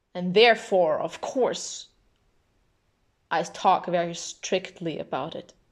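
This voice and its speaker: A woman speaks at a very slow pace and medium pitch. She leaves long, frequent pauses and has ordinary pitch variation. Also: big swings in loudness. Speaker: video essayist. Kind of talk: monologue. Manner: strict.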